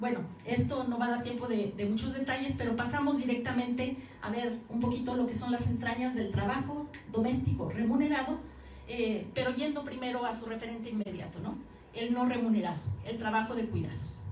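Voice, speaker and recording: At a fairly quick pace, a woman speaks with high pitch and fairly even intonation, with audible room echo and noticeable background noise. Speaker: academic researcher. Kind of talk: conference lecture. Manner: fast.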